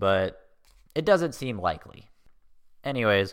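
A man speaking at a moderate pace. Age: 20s. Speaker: podcast host. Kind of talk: casual comedic podcast monologue. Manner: animated, jokey.

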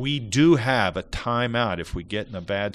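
A man talks at a fairly slow pace. He has an ordinary speaking voice with ordinary pitch variation. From Ohio. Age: 60s. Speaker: former college basketball player. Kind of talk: interview.

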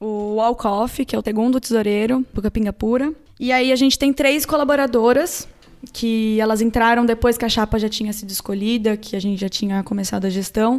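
This woman has a plain, everyday voice and a fairly high pitch. She moves at a fairly quick pace with fairly even intonation. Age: 20s. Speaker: student association president. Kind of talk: casual interview. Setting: in-person studio interview.

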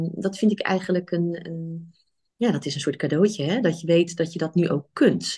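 Over a quiet background, a woman speaks at a fairly low pitch, somewhat breathy, with fairly even intonation. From Netherlands, Rotterdam. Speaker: physician and coach. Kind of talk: podcast interview. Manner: halting.

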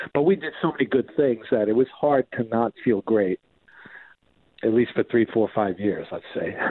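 With a New York accent, a man speaks at medium pitch and a moderate pace, his pitch varying in an ordinary way. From New York (Queens, Long Island). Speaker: rock guitarist. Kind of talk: casual interview. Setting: phone call.

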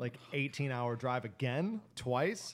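This man has a plain, everyday voice at a medium pitch. He speaks at a fairly slow pace. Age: 20s. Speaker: podcast co-host. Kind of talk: casual chat.

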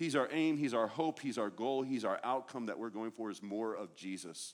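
A man speaks in a plain, everyday voice at a moderate pace and medium pitch. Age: 40s. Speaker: guest preacher. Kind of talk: sermon.

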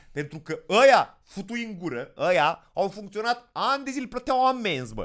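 This man talks at a moderate pace in a high voice, his pitch swinging very widely. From Moldova region, Romania. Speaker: comedian. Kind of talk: casual chat.

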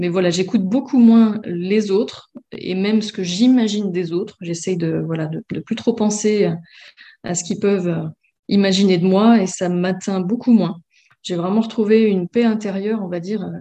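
A woman speaks at a medium pitch in a dark, mellow tone. Her pace is moderate, her intonation fairly even, and the background quiet. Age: 30s. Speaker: former coaching client. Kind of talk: interview testimony.

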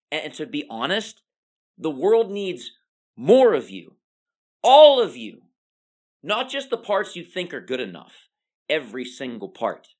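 Over a quiet background, a woman speaks at a fairly slow pace in a fairly low pitch, with long, frequent pauses. Her tone is energetic, with very wide pitch swings, big swings in loudness, and vocal fry. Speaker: pharmacist and motivational podcast host. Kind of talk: motivational monologue.

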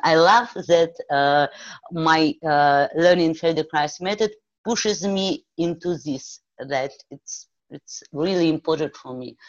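In a Russian accent, a woman speaks at a very slow pace with a very deep, low pitch. Her pitch variation is ordinary, while her loudness swings widely. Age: 40s. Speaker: movement therapy practitioner. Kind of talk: interview. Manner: halting.

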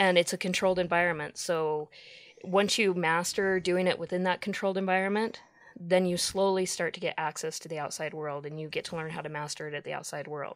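In a plain, everyday voice, a woman with an American accent and a fairly low pitch talks at a fairly quick pace with fairly even intonation and big swings in loudness. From Utah. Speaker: recovered addict, social worker at a treatment center. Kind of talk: interview testimony. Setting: studio.

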